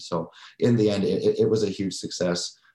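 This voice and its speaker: A man speaks fairly quickly in a Western Canadian accent. His voice is fairly low, with fairly even intonation. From Canada, Surrey, British Columbia. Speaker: housing and homelessness director. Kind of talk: interview conversation. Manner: halting, repeats words.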